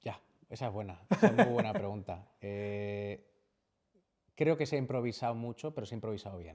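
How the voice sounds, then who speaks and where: On a very clean recording with a silent background, a man speaks at medium pitch. His intonation is lively and his pace moderate. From Valladolid, Spain. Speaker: video game studio CEO. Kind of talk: interview answer.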